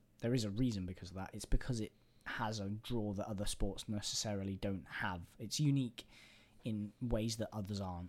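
A man with an English accent, fairly low in pitch, fairly even in intonation and fairly quick in pace, in a very clean recording with a silent background. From England. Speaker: podcast co-host. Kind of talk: casual chat. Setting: in person, streaming live.

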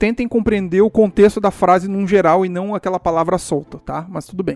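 Pitched high for a man, he talks at a moderate pace in a dry, close sound with no echo. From Brazil. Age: 30s. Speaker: solo podcaster. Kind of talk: casual monologue.

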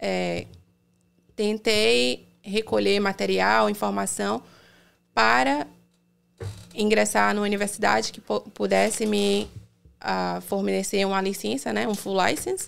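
A woman speaks at a very slow pace with long, frequent pauses, her very deep, low voice swinging very widely in pitch, on a very clean recording with a silent background. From Brazil, Salvador (Bahia). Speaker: dentist. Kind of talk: casual interview.

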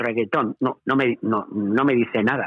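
The man's pitch is medium, with ordinary pitch variation. He talks at a moderate pace. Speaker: veteran radio presenter. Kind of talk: interview.

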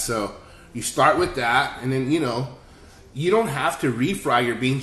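An American-accented man at medium pitch and moderate pace, lively intonation, audible room echo. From San Antonio, Texas. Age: 40s. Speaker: chef. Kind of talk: casual chat.

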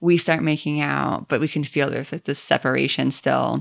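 A woman with an American accent speaks at a moderate pace on a very clean recording with a silent background and a dry, close sound with no echo. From Maine, US. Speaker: podcast guest. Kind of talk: casual chat. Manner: animated.

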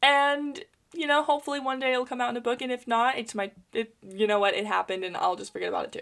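Very fast pace with lively intonation. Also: woman, high pitch for a woman. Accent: American. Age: 20s. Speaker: podcast host. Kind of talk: personal monologue. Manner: chatty, frequent laughter.

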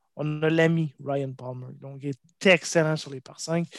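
A man speaks with a fairly high pitch and fairly even intonation, recorded very cleanly against a silent background with a dry, close sound and no echo. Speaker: golf podcast co-host. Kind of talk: casual chat.

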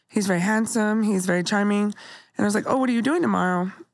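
A woman talks in a plain, everyday voice at a medium pitch with ordinary pitch variation. The recording is very clean, with a silent background. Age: 40s. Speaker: podcast co-host and comedian. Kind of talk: casual chat; testimony.

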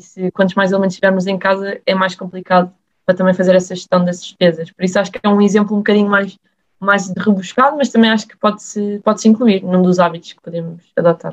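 Very fast speech with fairly even intonation and big swings in loudness. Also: woman, medium pitch for a woman. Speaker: student podcast host. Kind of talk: casual chat.

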